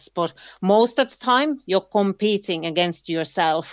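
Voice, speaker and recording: A woman with a Finnish accent at a fairly slow pace. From Finland, countryside. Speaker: ultra runner. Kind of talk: interview. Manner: halting.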